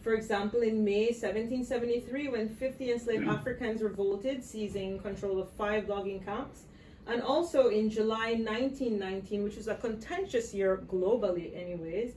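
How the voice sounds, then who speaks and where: Through noticeable background noise, a woman with a fairly high pitch speaks at a moderate pace with ordinary pitch variation and hardly any pauses. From Belize. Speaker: visual artist. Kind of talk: artist talk.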